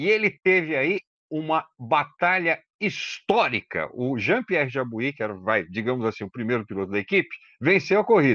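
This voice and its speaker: A man speaks in a fairly high, bright, sharp voice with vocal fry and very wide pitch swings. His pace is moderate, and the background is quiet. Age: 50s. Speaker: motoring journalist, podcast co-host. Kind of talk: casual chat. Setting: remote call.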